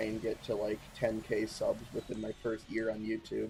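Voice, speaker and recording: A man speaks with music playing in the background. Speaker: gaming streamer. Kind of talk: casual live stream chat.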